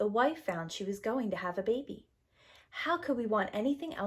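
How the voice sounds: Reading in a natural voice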